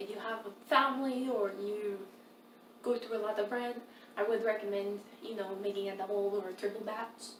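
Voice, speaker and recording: A woman keeps her intonation fairly even as she talks in a room with audible echo and noticeable background noise. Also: medium pitch for a woman, moderate pace. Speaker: home cooking video host. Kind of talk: cooking tutorial. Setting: home kitchen. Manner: involuntary tics and swears; sometimes slurred speech.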